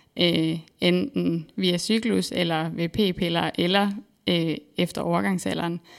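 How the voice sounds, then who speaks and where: A woman with a fairly low pitch speaks at a very slow pace, with ordinary pitch variation and very even loudness, on a very clean recording with a silent background. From Denmark, central Jutland. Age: 20s. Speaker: PhD researcher in exercise physiology. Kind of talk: interview. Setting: studio.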